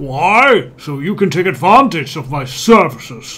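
A man with a fairly high voice talks at a fairly slow pace, his pitch making very wide swings. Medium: game stream. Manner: pompous, condescending.

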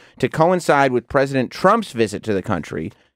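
The speech moves at a fairly quick pace against a quiet background, with a dry sound and no echo. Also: man. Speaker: podcast host. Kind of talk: casual chat. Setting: studio. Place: studio. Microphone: studio mic.

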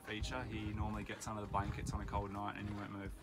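This is a man speaking. Loud background noise surrounds him. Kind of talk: casual tour commentary. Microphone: phone near.

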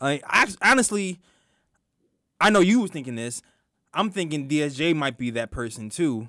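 A man with a New York accent speaks in a bright, sharp tone at a moderate pace, with very wide pitch swings and long, frequent pauses, in a dry sound with no echo against a quiet background. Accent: New York (Brooklyn) English. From Brooklyn, New York. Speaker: sports podcast co-host. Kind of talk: casual sports talk show. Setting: studio. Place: studio. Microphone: studio mic.

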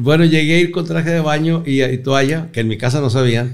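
There's an animated tone to this man's voice, with ordinary pitch variation. The background stays quiet. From northern Mexico, Torreón; northern Mexico. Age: 60s. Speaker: comedian; comedian guest. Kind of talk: casual interview chat. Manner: animated storytelling. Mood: joking, animated storytelling. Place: studio. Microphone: studio mic.

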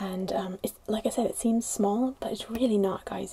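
A woman with a dark, mellow tone and vocal fry talks at a fairly quick pace. Her intonation stays fairly even.

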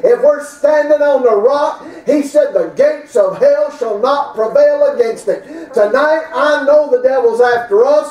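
Speaking with a Southern US accent, a man with an extremely high pitch sounds animated, using lively intonation and very even loudness at a fairly slow pace with hardly any pauses, and audible room echo. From US South. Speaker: preacher. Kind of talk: sermon. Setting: church. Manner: animated, emphatic preaching in full flow, with punchy repeated phrases. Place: church. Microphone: camera far.

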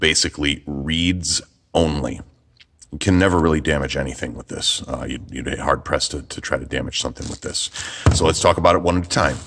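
At a fairly quick pace, a man talks with a very deep, low pitch and fairly even intonation. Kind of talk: product demo tutorial. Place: workshop.

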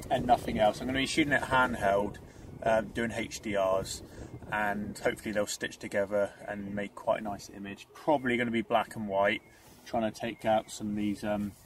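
A man speaks at a fairly low pitch and a moderate pace. The sound is dry with no echo, with light background noise. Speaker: landscape photographer vlogger. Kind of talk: casual vlog chat. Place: car. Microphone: phone near.

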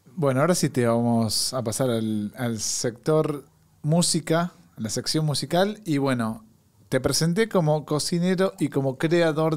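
With lively intonation, a plain, everyday voice speaks at a fairly slow pace. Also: man. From Argentina. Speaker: podcast host. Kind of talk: casual chat. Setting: studio. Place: studio. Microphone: studio mic.

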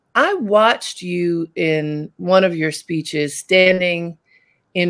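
A woman with a fairly low pitch speaks at a very slow pace against a quiet background. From Baltimore. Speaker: talk show host. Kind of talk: interview. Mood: warm, engaged. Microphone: video call.

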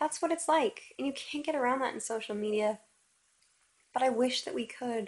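Pausing long and often, a woman with a high pitch talks at a moderate pace with ordinary pitch variation. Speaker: vlogger. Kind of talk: casual vlog rant. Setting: video to camera at home. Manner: rambling, unscripted, self-questioning. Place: home room. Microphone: phone near.

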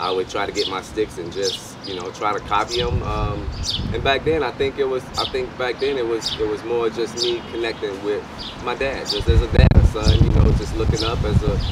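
A man at a moderate pace, dry sound with no echo, over loud background noise. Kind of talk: interview answer. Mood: reflective, nostalgic. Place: street.

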